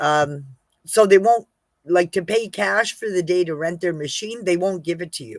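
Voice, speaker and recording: Speaking at a moderate pace with lively intonation, a woman at medium pitch comes through in a dry, close sound with no echo. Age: 60s. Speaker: homesteader. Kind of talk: casual vlog talk. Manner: halting, with fillers.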